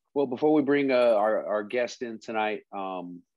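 A man speaks at a moderate pace with fairly even intonation. The sound is dry with no echo, and the background is quiet. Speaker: podcast co-host. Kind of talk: casual podcast talk. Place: home room. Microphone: earbuds.

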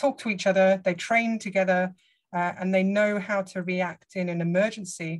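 Speaking in a southern English accent, a woman with a somewhat breathy, medium-pitched voice keeps a moderate pace and fairly even intonation over a quiet background. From England. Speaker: hydrology professor. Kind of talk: lecture. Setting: video call. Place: home room. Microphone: video call.

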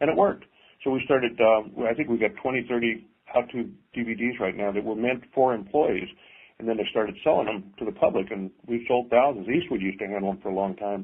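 With a normal speaking voice, a man talks at a fairly quick pace and medium pitch, using ordinary pitch variation. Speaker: custom car builder. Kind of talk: casual interview. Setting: remote call.

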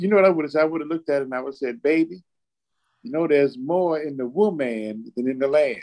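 A man speaks very fast over a quiet background, his dark, mellow tone set at a fairly high pitch with ordinary variation. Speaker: church talk show co-host. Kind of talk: casual discussion. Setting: remote call from father's hospital room. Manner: repetitive, emphatic. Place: home room. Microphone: video call.

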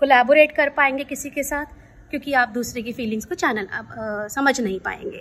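A woman is speaking here. Her pitch sits high. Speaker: speaker. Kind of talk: informative talk to camera. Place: garden. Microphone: phone near.

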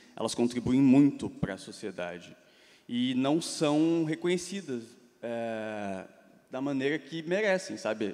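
With lively intonation, a man delivers his words at a very slow pace. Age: 20s. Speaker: meme page creator, awards founder; meme page creator. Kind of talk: conference panel discussion. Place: stage. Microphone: handheld.

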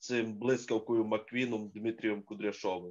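Medium-pitched male speech in a quiet setting. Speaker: boxing pundit. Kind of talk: casual chat. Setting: video call.

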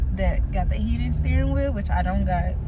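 Through loud background noise, a woman talks at a fairly slow pace with ordinary pitch variation. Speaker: travel vlogger. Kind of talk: casual vlog chat. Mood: playful, relaxed. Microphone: phone near.

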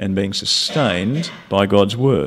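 With an Australian accent, a man talks in a fairly low pitch and lively intonation. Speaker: preacher. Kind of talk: sermon. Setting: church. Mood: warm, light-hearted to earnest. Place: hall. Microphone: podium.

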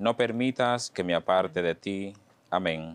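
A man with a low voice speaks at a fairly slow pace in a clear, smooth tone, using ordinary pitch variation.

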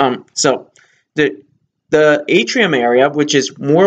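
Ordinary rises and falls in pitch from a male speaker. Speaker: cruise reviewer. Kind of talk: casual vlog chat. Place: home room. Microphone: webcam.

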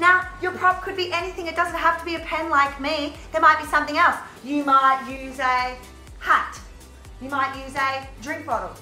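Faint music plays in the background and audible room echo surrounds a woman who uses a raised, projected voice at a moderate pace with ordinary pitch variation. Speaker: drama teacher. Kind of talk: tutorial. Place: classroom. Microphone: camera far.

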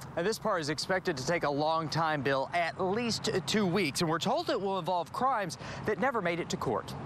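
A man's high-pitched voice at a moderate pace, dry with no echo, against noticeable background noise. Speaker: TV news reporter. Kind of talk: news report. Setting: outdoors. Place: street. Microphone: lapel.

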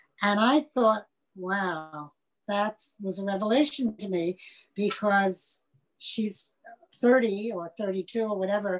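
With an American accent, a woman speaks at a very slow pace, leaving long, frequent pauses against a quiet background. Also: ordinary pitch variation. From US, New York. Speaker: music journalist. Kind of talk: interview. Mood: reflective, reminiscing. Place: home room. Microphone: webcam.

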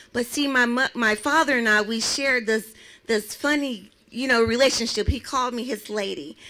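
A woman's high, bright and sharp voice at a moderate pace with ordinary pitch variation. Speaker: domestic violence survivor speaker; speaker. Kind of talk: testimony; personal testimony speech. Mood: emotional, earnest storytelling. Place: open country. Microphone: handheld.

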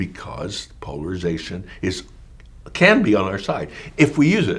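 With an American accent, a man talks at a fairly slow pace in a very deep, low pitch, somewhat breathy and with very wide pitch swings. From rural Pennsylvania, US. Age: 80s+. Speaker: activist and author; teacher interviewee. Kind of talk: interview. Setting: office. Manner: animated. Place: home room.

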